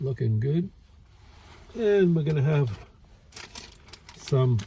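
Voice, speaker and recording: A speaker with an American accent talks at a very slow pace in a relaxed tone. Noticeable background noise sits under the voice. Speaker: food reviewer. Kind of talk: casual food review vlog. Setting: outdoors by a lake. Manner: relaxed, hesitant with fillers.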